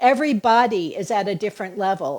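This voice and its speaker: A woman with an ordinary speaking voice talks at a fairly slow pace, fairly high in pitch with ordinary pitch variation. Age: 60s. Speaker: fitness coach. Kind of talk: live-stream workout coaching. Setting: live video stream. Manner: upbeat, encouraging.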